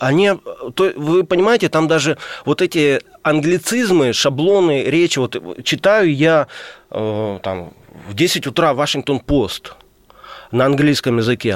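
Recorded with a dry, close sound and no echo, a man speaks fairly slowly in a fairly high voice, swinging his pitch very widely and pausing long and often. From Crimea, Ukraine. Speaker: publicist and journalist. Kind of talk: radio interview. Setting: radio studio.

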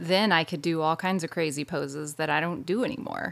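Her pace is moderate, her pitch fairly low with ordinary pitch variation. This woman has an ordinary speaking voice. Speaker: yoga practitioner guest. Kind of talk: casual chat.

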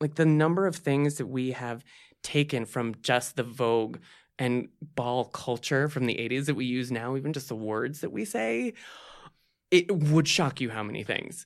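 In an ordinary speaking voice, a man talks at a moderate pace with ordinary pitch variation on a very clean recording with a silent background. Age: 30s. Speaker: LGBT advocate. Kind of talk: interview.

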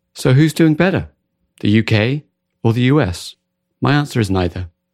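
A man with an American accent at a moderate pace, lively in intonation, in a dry, close sound with no echo. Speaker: podcast host. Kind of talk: interview conversation. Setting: remote call from US west coast.

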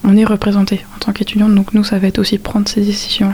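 Over noticeable background noise, a woman of medium pitch talks at a fairly quick pace. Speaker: midwifery student, student association president. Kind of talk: interview.

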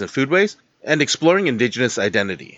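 An American accent colors this man's fairly high-pitched voice. He talks at a very fast pace with very wide pitch swings. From rural Minnesota. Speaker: podcast host. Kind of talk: casual interview; scripted narration.

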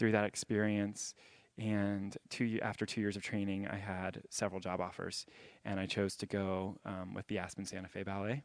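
A man speaks with an American accent. His intonation is monotone and flat, over a quiet background. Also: fairly low pitch for a man, moderate pace. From US South, Jacksonville, Florida. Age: 20s. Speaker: ballet dancer. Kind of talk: interview on stage. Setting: stage with audience.

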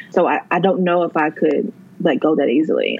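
The pace is moderate, with ordinary pitch variation. It is an unremarkable speaking voice. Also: woman. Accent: American. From North Carolina. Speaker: emergency management worker, book lover. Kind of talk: casual chat.

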